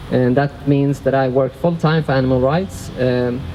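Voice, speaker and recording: A non-native accent at a moderate pace, fairly even intonation, with noticeable background noise. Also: man. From Sweden. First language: Swedish. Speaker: workshop facilitator. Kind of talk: workshop talk. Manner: halting.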